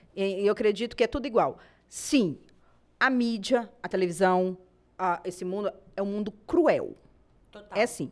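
Lively intonation runs through this woman's speech at a moderate pace. She leaves long, frequent pauses. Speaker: podcast co-host. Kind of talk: casual chat.

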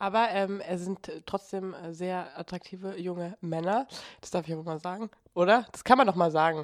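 A woman uses an ordinary speaking voice at medium pitch and a moderate pace, with ordinary pitch variation. Her loudness swings widely in a very clean recording with a silent background. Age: 20s. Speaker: podcast host. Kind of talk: casual chat.

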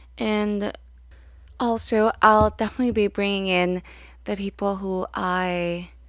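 At a very slow pace, a woman speaks with a medium pitch and fairly even intonation, recorded very cleanly against a silent background. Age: 20s. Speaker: podcast host. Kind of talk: solo podcast monologue.

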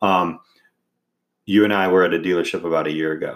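This man talks at a fairly quick pace with an American accent and fairly even intonation. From Indiana. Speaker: podcast host, father of co-host. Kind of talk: casual chat.

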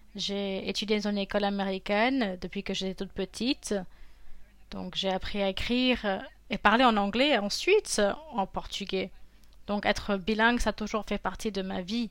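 A woman speaks in a normal speaking voice at medium pitch and a moderate pace, on a very clean recording with a silent background. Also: fairly even intonation. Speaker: interpreter and voice actor. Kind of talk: interview answers, conversational.

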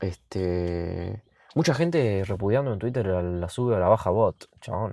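A man with an Argentine accent speaks at a fairly slow pace, his fairly low, dark, mellow voice carrying lively intonation. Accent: Rioplatense Argentine Spanish. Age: 20s. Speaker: podcaster. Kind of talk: casual solo monologue. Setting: in a car. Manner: halting, many fillers and repetitions.

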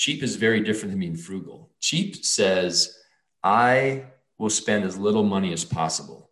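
Speaking in a normal speaking voice, a man with a fairly low pitch and ordinary pitch variation keeps a moderate pace. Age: 40s. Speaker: finance educator and entrepreneur. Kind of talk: interview.

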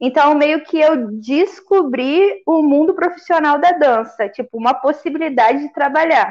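Using ordinary pitch variation and a high pitch, a woman speaks at a fairly slow pace with hardly any pauses. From Volta Redonda, interior of Rio de Janeiro state, Brazil. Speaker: dancer. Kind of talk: casual chat.

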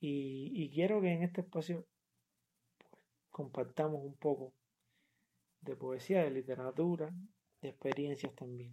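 A man's fairly high voice in a dark, mellow tone, fairly slow with long, frequent pauses. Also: ordinary pitch variation. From Cuba, Havana. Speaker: poet and poetry podcaster. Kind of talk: casual talk between poetry readings. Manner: halting, with many fillers and repetitions.

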